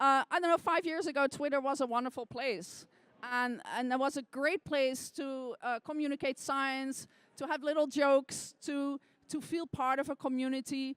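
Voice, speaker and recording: A woman's high-pitched voice with a non-native accent, fairly even intonation and a moderate pace, in a dry, close sound with no echo. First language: not English. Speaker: scientist and science sleuth. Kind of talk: interview. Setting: stage with audience.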